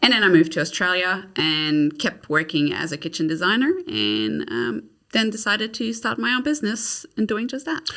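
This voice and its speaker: The voice has a bright, sharp tone and vocal fry, moving at a moderate pace. Its pitch swings very widely. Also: woman, medium pitch for a woman. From Quebec, Canada (Montreal). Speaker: kitchen designer. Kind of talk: podcast interview.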